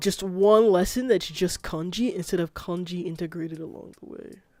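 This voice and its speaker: At a moderate pace, the speech continues with music in the background. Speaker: streamer. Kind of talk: casual chat. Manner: halting.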